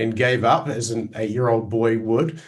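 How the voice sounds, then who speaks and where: Speaking at a moderate pace, a man with a New Zealand accent sounds somewhat breathy. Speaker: Greek language scholar and teacher. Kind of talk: interview. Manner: halting, many fillers.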